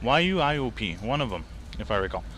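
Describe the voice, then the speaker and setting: With audible room echo, a man in a Quebec accent speaks at a fairly slow pace. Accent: French Canadian accent in English. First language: French. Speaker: gaming video creator. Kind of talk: gameplay commentary. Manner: halting.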